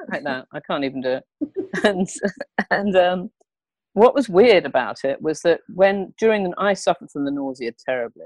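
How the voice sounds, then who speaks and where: With an English accent, a woman speaks with very wide pitch swings and long, frequent pauses, the sound dry and close with no echo. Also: medium pitch for a woman, moderate pace. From England. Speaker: comedian and therapist. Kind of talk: interview answer.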